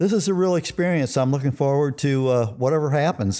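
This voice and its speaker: Moderate in pace, this voice carries an American accent and a dark, mellow tone with ordinary pitch variation. The recording is very clean, with a silent background. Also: man. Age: 70s. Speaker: war veteran. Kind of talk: casual chat.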